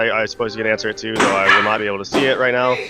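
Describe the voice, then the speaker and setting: Music plays in the background as a man speaks at medium pitch. His intonation is fairly even. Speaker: podcast co-host. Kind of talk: casual chat. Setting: live stream. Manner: monotone.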